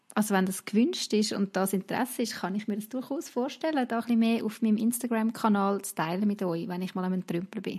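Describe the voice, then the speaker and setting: A woman's somewhat breathy, fairly high voice in a Swiss accent, at a fairly quick pace. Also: ordinary pitch variation. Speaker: podcast host. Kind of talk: casual chat. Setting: video call.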